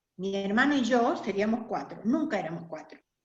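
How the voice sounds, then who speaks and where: Audible room echo surrounds the voice. Its pitch swings very widely. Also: woman. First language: German (speaking Spanish). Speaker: interviewee, community member. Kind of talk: oral history interview.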